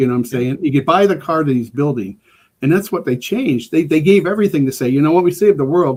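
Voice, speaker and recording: A man speaks with an American accent and a fairly high pitch. His pitch varies in an ordinary way. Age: 60s. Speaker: emergency preparedness expert. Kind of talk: casual chat. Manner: halting, many repeated words.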